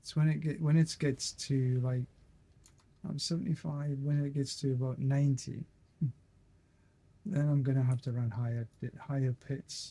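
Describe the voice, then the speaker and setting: A man's fairly high-pitched, somewhat breathy voice, dark and mellow in tone and relaxed, at a moderate pace with fairly even intonation and long, frequent pauses. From Scotland. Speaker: gaming streamer. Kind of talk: casual gameplay commentary. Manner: halting, repeats words.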